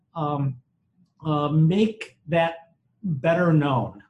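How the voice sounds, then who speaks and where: This man speaks with an Upper Midwest accent. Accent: Upper Midwest American. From US Midwest, Wisconsin. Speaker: former fraternity leader and government official. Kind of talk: panel discussion.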